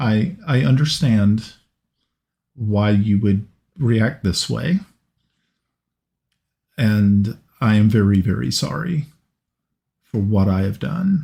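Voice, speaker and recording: In a put-on, robotic character voice, a man speaks at a fairly slow pace with a fairly low pitch, very wide pitch swings, very even loudness, and long, frequent pauses. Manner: strange.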